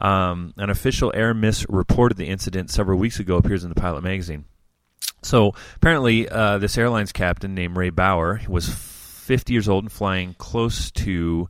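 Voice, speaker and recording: An ordinary speaking voice, a man's fairly low pitch with ordinary pitch variation at a moderate pace, on a very clean recording with a silent background. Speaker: co-host of youth group podcast. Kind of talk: casual banter, radio DJ patter reading news items. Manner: playful, jokey, casual.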